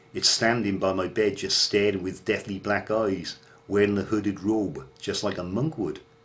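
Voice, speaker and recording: At a moderate pace, the speaker uses ordinary pitch variation with a Welsh accent. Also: man. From Wales. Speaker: horror storyteller. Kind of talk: ghost story narration. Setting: home bedroom.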